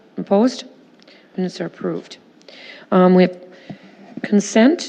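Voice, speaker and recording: With noticeable background noise behind her, a woman with an American accent speaks at medium pitch and a moderate pace, her pitch varying in an ordinary way. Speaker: mayor chairing city plan commission. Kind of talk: public meeting chairing.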